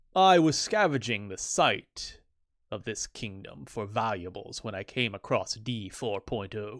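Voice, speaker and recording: A man speaks at a fairly slow pace in a put-on character voice, his pitch sitting in the middle range. The recording is very clean, with a silent background. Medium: read story. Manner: grandiose, self-important.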